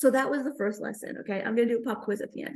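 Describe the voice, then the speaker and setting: This woman has a fairly high pitch, a dark, mellow tone, and a somewhat breathy quality. She speaks in a New York accent with ordinary pitch variation. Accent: New York American. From Queens, New York. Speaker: stand-up comedian. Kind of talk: comedic spiritual talk.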